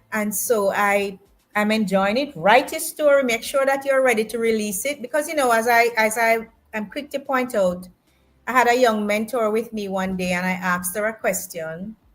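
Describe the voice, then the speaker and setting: A normal speaking voice from a woman, fairly high in pitch, at a moderate pace with ordinary pitch variation. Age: 60s. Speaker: author. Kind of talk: interview.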